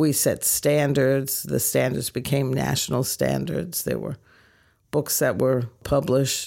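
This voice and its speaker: A woman talks at a fairly slow pace in a very deep, low pitch with vocal fry. The recording is very clean, with a silent background. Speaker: nurse practitioner. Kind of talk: interview.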